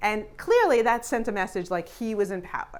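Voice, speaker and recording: The speaker is a woman. She has an American accent. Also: very clean recording, silent background. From New York. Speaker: business consultant. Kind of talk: talk to audience. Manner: fast; direct.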